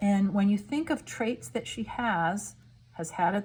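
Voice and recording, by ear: The pitch varies in an ordinary way. The text is read aloud in a natural voice.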